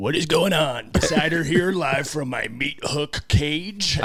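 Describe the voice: Putting on a character voice, a man speaks at a fairly slow pace in a fairly high pitch.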